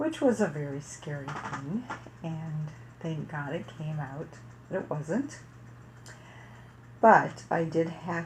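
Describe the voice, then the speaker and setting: In a room with audible echo, a woman with a very deep, low pitch speaks somewhat breathily at a fairly slow pace with lively intonation. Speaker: parenting vlogger. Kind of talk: personal story monologue. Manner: casual.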